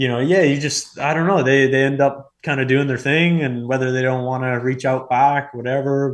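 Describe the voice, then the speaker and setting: Speaking at a moderate pace with hardly any pauses, a man keeps a monotone, flat intonation. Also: medium pitch for a man. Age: 20s. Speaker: pro hockey player. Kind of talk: casual chat.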